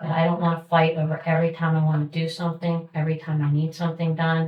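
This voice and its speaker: At a moderate pace, a woman speaks in a somewhat breathy voice with a fairly low pitch. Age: 60s. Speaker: community volunteer organizer. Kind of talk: public meeting remarks. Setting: township trustee meeting. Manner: halting.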